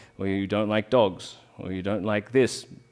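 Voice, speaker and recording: This man has a fairly low pitch and an Australian accent, talking at a moderate pace. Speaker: rolfing bodyworker. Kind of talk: public talk.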